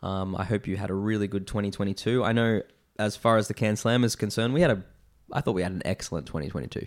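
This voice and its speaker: Speaking at a very fast pace, a man with a fairly low pitch and ordinary pitch variation is heard in a very clean recording with a silent background. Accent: Australian. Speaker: beer podcast host. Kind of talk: casual chat.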